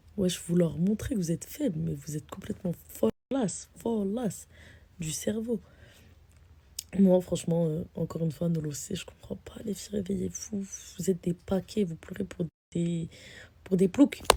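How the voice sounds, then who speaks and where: Her voice is fairly low-pitched and somewhat breathy, moving at a fairly slow pace with ordinary pitch variation. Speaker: social media personality. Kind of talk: casual vlog rant. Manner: animated.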